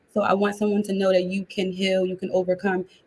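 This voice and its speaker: With an American accent, a woman speaks at a medium pitch in a somewhat breathy voice with monotone, flat intonation. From US Northeast, Philadelphia. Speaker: life coach. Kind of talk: interview. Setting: live video call. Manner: fast.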